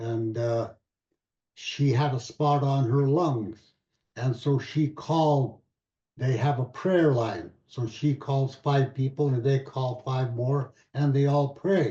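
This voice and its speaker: Very slow, somewhat breathy speech with fairly even intonation. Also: man, medium pitch for a man. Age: 80s+. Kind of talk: panel Q&A answer. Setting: video call. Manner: halting.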